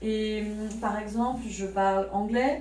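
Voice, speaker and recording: Noticeable background noise and audible room echo surround a woman with a fairly high pitch. She talks at a very slow pace with fairly even intonation. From Paris suburbs, France. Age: 30s. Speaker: French teaching assistant. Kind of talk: interview.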